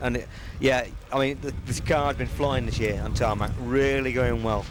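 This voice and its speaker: Amid noticeable background noise and audible room echo, a man with a fairly high pitch speaks at a fairly quick pace with ordinary pitch variation. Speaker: stock car racing driver. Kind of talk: pre-race interview. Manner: loud; animated.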